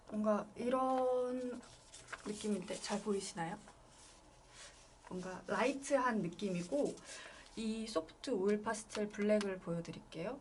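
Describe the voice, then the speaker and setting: Amid noticeable background noise, a woman speaks at a very slow pace and fairly high pitch, with ordinary pitch variation and long, frequent pauses. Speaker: illustrator teaching an art class. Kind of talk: online class tutorial.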